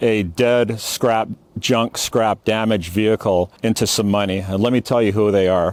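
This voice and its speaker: In an unremarkable speaking voice, a man talks at a moderate pace with ordinary pitch variation, the sound dry and close with no echo. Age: 60s. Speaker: salvage yard veteran. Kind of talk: casual tutorial. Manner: casual, with fillers.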